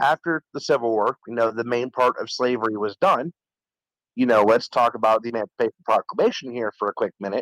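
A normal speaking voice moves at a fairly quick pace with ordinary pitch variation. The sound is dry and close, with no echo. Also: man, medium pitch for a man. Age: 20s. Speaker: caller, former EMT with own show. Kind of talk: casual chat.

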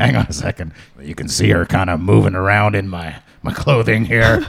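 Using a put-on character voice, a man growls out raspy words at a very deep, low pitch. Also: fairly quick pace. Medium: actual play. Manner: casual, rambling.

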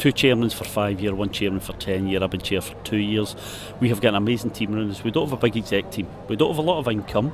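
Noticeable background noise surrounds a man talking at a very fast pace. His fairly low pitch shows ordinary variation. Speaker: festival chairman. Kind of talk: casual interview.

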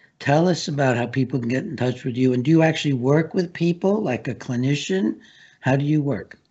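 The speaker has an American accent and a somewhat breathy voice. Delivery is fairly quick, with ordinary pitch variation. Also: man, fairly high pitch for a man. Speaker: talk show host and psychiatrist. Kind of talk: interview. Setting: studio.

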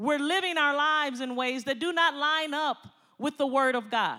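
An animated, bright, sharp voice with an American accent, raised and projected at a moderate pace. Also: woman. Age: 50s. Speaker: pastor. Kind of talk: sermon. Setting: church.

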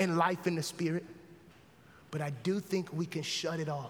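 There is noticeable background noise as a man speaks at a high pitch and a fairly slow pace. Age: 40s. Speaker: pastor. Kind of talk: closing sermon appeal, intimate pastoral exhortation leading into prayer. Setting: church. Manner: earnest, conversational with rhetorical repetition; casual, colloquial banter.

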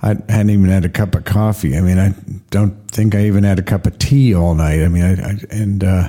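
Someone does plain reading aloud. Fairly even intonation runs throughout.

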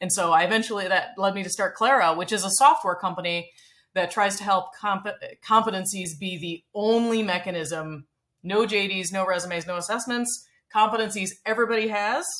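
A woman speaks at a moderate pace with a fairly bright tone, medium pitch and ordinary pitch variation.

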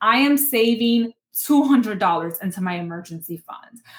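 A woman with a New York accent talks in a fairly high voice that makes very wide pitch swings. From Bronx, New York. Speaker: personal finance educator and lawyer. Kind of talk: interview.

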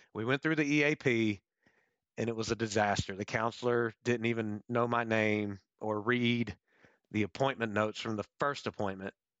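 An ordinary speaking voice with an American accent talks at a moderate pace. The intonation is fairly even. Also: man. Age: 30s. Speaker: former police officer and Marine veteran. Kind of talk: interview.

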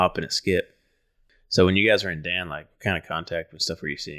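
A man's voice comes through in a dry, close sound with no echo. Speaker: podcast co-host. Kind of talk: casual interview.

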